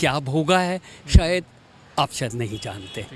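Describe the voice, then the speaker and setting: A man speaks with music in the background. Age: 70s. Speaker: voter interviewed on street. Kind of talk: street interview.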